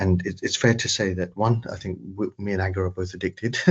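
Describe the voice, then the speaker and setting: Very deep and low, a man's somewhat breathy voice holds a monotone, flat intonation. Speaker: AI trainer for patient organisations. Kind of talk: webinar presentation. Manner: fast.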